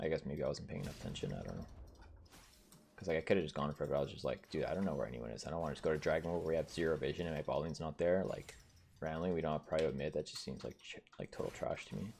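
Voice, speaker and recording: A very deep, low male voice in a Canadian accent, with vocal fry, a very fast pace and fairly even intonation. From French Canada. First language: French. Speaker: streamer and gamer. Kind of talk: casual live-stream gaming commentary. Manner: casual, filler-heavy.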